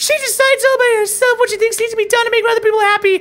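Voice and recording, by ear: The clip is a natural voice reading a passage aloud.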